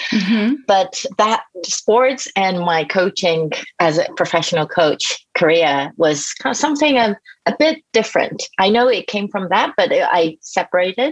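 Speaking at a fairly slow pace with a Japanese accent, a woman of medium pitch makes very wide pitch swings while keeping very even loudness. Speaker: executive coach. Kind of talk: interview.

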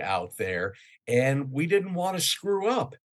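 Speaking at a fairly slow pace with lively intonation, a man with an American accent has an unremarkable speaking voice. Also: quiet background. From New York City area. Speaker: radio news correspondent. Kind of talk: casual interview.

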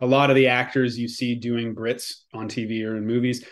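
In a Canadian accent, a man speaks at a medium pitch and a moderate pace with monotone, flat intonation. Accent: North American with Canadian tone. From Quebec, Canada. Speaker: actor.

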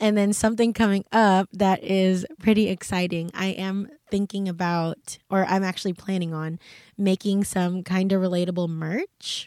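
With an American accent, a plain, everyday voice speaks with fairly even intonation. The recording is very clean and dry, close with no echo against a silent background. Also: woman. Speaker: podcast host. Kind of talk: casual solo podcast chat. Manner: casual, self-deprecating.

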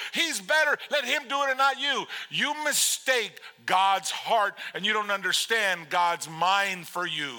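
In a raised, projected voice, a man speaks with an animated tone at a high pitch and a fairly slow pace, his voice moving through very wide pitch swings. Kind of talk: sermon to a congregation, with a call-and-response to the audience. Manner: animated, conversational, repeats words for emphasis, with laughs and punchy commands; warm and urgent, moves from pleading to playful to firm.

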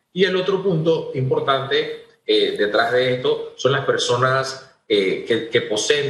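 A man's speech carries audible room echo. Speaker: government agency head. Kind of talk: radio interview.

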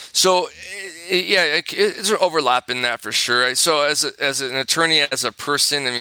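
With a Californian accent, a man talks at a fairly quick pace in a fairly high pitch, his pitch varying in an ordinary way, and the sound is dry and close with no echo. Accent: Californian American English. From Southern California. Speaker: personal injury attorney. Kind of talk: interview. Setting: remote interview from office.

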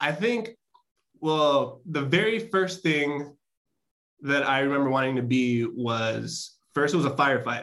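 Fairly slow speech from a man with a Chicago accent, fairly high in pitch, with lively intonation and very even loudness. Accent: Chicago American English. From Chicago South Side, US. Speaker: tech professional. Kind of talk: interview.

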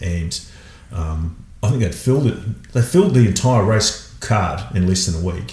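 With an Australian accent and a very deep, low pitch, a man speaks at a fairly slow pace in lively intonation, with noticeable background noise behind him. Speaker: marathon paddler. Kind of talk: casual chat. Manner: halting.

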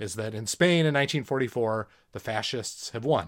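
A man talks in an ordinary speaking voice at a moderate pace with ordinary pitch variation. The recording is very clean, with a silent background. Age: 40s. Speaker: podcast co-host, father. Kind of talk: casual chat about movies.

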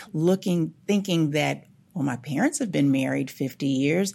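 Lively intonation and vocal fry in an American accent, on a very clean recording with a silent background. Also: woman. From Oakland, California. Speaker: podcast host and executive coach. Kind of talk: interview.

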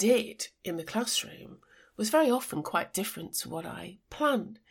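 In an English accent, a woman with a fairly high pitch speaks at a fairly slow pace. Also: very clean recording, silent background. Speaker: podcast host, design and technology educator. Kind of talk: solo educational podcast monologue.

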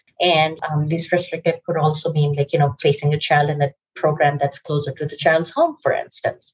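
A somewhat breathy voice at a moderate pace, flat and monotone, with hardly any pauses and a dry, close sound free of echo. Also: woman, very deep, low pitch for a woman. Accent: American. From Pakistan. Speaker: lawyer. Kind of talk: interview.

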